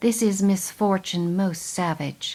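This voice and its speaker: A female-sounding voice performs a put-on character voice at middle pitch. The pace is fairly slow. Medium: read story. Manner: eager, boisterous.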